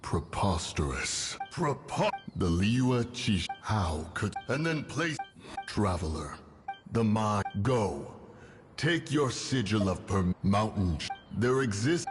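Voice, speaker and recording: Clear background music behind a fairly slow, put-on character voice from a man. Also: fairly low pitch for a man. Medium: machinima. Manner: grand, archaic.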